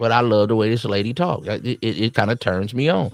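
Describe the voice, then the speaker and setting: With a Southern US accent, a man speaks in an animated tone at a fairly quick pace. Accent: Southern twang. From US South. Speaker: dating advice streamer. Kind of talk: casual commentary.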